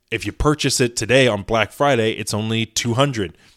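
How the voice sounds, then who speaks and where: Recorded very cleanly against a silent background, a man with a Midwestern American accent talks at a moderate pace, with a medium pitch and ordinary pitch variation. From US Midwest, Indiana. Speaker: podcast host, car detailer. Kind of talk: casual solo podcast talk. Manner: halting, many fillers.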